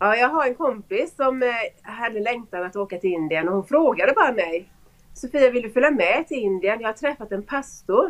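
A woman talks with lively intonation at a moderate pace. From Sweden. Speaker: school pastor. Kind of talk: testimony. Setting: video call.

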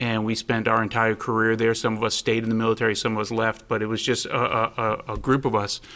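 Speaking at a very fast pace with hardly any pauses, a man keeps a monotone, flat intonation and very even loudness. His medium-pitched voice has a bright, sharp tone. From Rhode Island. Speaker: police assistant chief. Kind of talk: panel interview.

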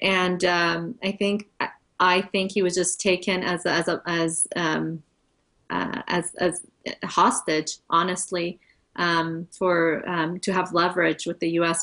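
This woman talks fairly slowly. She has an American accent. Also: quiet background. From United States, Iranian-born. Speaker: wife of an imprisoned pastor. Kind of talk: interview. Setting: video call. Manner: halting.

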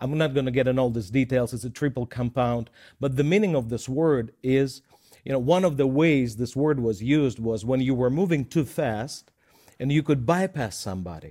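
This man has a dark, mellow tone and ordinary pitch variation. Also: medium pitch for a man, moderate pace, very clean recording, silent background. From Russia. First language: Russian. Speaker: minister. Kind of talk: Bible teaching show. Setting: studio.

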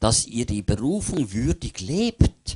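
A man talks at a fairly slow pace. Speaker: preacher. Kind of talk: sermon with line-by-line interpreter. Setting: church. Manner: animated, fervent, pausing for interpretation.

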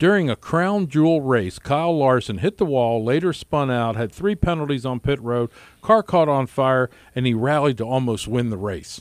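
A man with an unremarkable speaking voice speaks at a medium pitch and moderate pace. The sound is dry and close with no echo, on a very clean recording with a silent background. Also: lively intonation. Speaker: radio host. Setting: radio studio.

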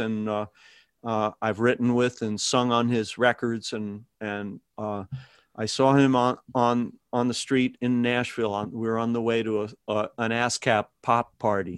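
In a very clean recording with a silent background and a dry, close sound with no echo, a man speaks fairly slowly at a medium pitch. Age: 60s. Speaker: songwriter and musician. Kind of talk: interview. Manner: halting.

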